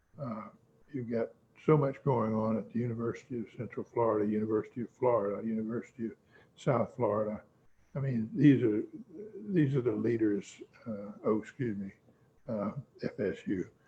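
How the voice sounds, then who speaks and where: At a fairly quick pace yet with long, frequent pauses, a man speaks at a medium pitch with fairly even intonation and a somewhat breathy voice. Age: 80s+. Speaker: law firm founder. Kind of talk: interview. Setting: video call. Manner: halting.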